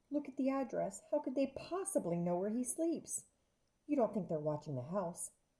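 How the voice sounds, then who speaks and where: Putting on a character voice, a woman speaks shakily at a moderate pace, pitched fairly high with very wide pitch swings. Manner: frightened, worried.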